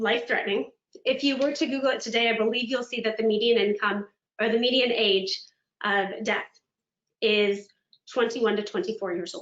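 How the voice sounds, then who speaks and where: A woman talks with lively intonation. Her pitch is fairly high. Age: 30s. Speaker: motivational speaker. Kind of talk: webinar keynote presentation.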